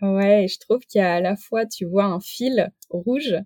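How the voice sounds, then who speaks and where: A woman talks very slowly at a medium pitch with ordinary pitch variation and a dark, mellow tone. The sound is dry and close, without echo. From rural France. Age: 30s. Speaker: naturopath and entrepreneur. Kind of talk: interview. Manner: hesitant, many fillers.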